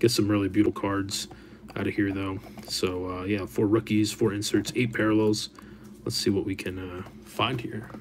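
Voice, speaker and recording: A man is talking. There is light background noise behind him. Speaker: card break host. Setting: live stream, online video. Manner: casual, friendly, with frequent filler 'uh' and 'um'. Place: studio.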